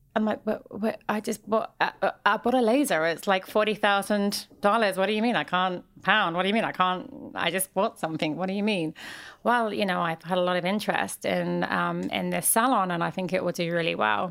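This woman speaks at a moderate pace and a medium pitch with ordinary pitch variation. The recording is very clean, with a silent background. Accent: London. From London, England. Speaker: celebrity facialist and entrepreneur. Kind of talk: interview conversation.

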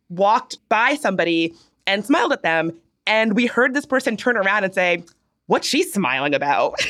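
At a fairly quick pace and medium pitch, a woman with an American accent uses an ordinary speaking voice with lively intonation. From Virginia, near Richmond. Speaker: podcast co-host. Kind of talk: casual chat.

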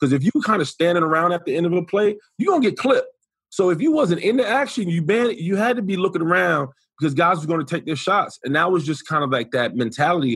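Speech comes at a very fast pace with lively intonation. The tone is animated, in a New York accent. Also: man. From US Northeast, New York City (the Bronx). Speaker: former NFL player, sports commentator. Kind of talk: casual chat. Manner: animated storyteller.

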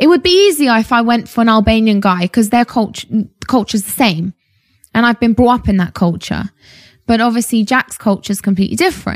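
A woman with a fairly high, somewhat breathy voice speaks at a fairly quick pace, her intonation lively and her tone animated, in a dry, close sound with no echo. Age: 20s. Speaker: fitness entrepreneur. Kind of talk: casual interview.

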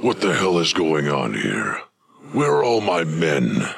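A man's put-on character voice, booming and raspy, very deep and low in pitch, with very wide pitch swings, an angry tone and a fairly slow pace. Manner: booming, angry.

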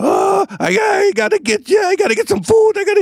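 Using a put-on character voice, a man speaks at a moderate pace in an extremely high pitch with very wide pitch swings. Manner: comical, funny voice.

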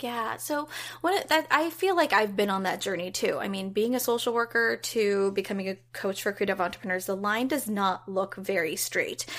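In a very clean recording with a silent background, a woman with a plain, everyday voice talks at a moderate pace, medium in pitch and with lively intonation. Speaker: creative business coach. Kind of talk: interview conversation.

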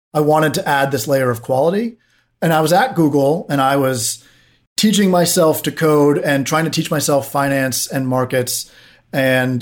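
He has a plain, everyday voice, fairly high for a man. He talks at a moderate pace with ordinary pitch variation. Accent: American. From US, Washington DC. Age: 30s. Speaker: tech founder and CEO. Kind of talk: podcast interview.

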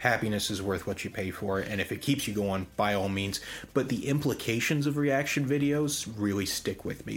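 This man has a normal speaking voice, talking at a moderate pace with lively intonation. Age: 20s. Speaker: podcast co-host. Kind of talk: casual chat.

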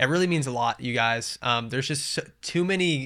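In a very clean recording with a silent background, a man with a bright, sharp tone speaks at a fairly high pitch and a moderate pace. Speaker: podcast host. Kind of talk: casual chat.

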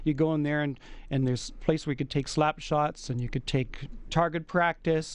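A man with an unremarkable speaking voice, fairly high pitch and fairly even intonation, at a fairly quick pace against a quiet background. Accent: Canadian. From Edmonton, Canada. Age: 50s. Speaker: hockey fan traveller. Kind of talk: radio interview.

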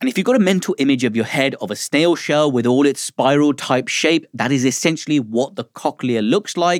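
In a British accent, lively intonation runs with hardly any pauses on a very clean recording with a silent background and a dry, close sound with no echo. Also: man. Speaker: doctor and podcast host. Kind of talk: hosted science podcast, interview.

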